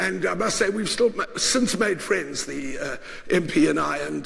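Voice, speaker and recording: With noticeable background noise and audible room echo, a man talks. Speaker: journalist and board member. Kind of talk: lecture. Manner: halting, many fillers.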